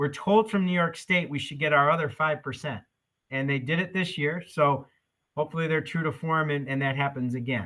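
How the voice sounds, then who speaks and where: The delivery is fairly quick, in a normal speaking voice. Its pitch rises and falls in an ordinary way. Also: man, fairly high pitch for a man. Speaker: school district administrator. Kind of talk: budget presentation at meeting.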